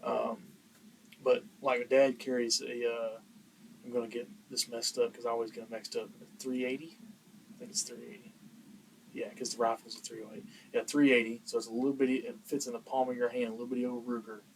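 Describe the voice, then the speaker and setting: A man talks at a very fast pace and medium pitch, with big swings in loudness and long, frequent pauses. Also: ordinary pitch variation. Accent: American. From Texas, Dallas area. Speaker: podcast host. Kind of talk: casual chat.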